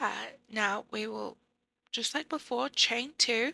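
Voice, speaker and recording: A woman speaks in a fairly high pitch with a bright, sharp tone and vocal fry. The sound is dry and close, with no echo. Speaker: crochet tutorial creator. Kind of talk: tutorial voiceover.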